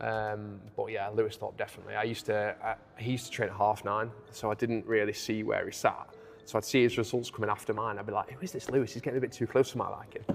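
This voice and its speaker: A man at a very fast pace, fairly low in pitch, with fairly even intonation and music in the background. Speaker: clothing brand co-owner. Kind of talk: casual chat. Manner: loud.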